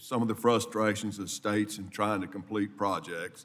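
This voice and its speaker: A man with a fairly low voice and a Mississippi accent speaks at a moderate pace with fairly even intonation. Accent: Southern US (Mississippi). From US South, South Mississippi. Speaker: congressman. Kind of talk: committee hearing questioning.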